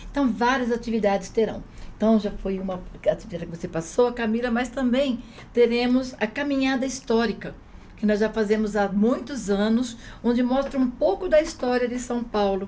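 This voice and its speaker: Speaking in an unremarkable speaking voice, a woman with a fairly high pitch keeps a moderate pace and ordinary pitch variation. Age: 60s. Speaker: union activist. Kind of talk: casual chat.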